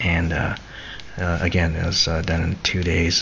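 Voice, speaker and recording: Soft-spoken and at a fairly slow pace, the speaker talks over noticeable background noise. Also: man. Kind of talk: casual talk to camera, autobiographical rambling. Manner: soft-spoken, rambling.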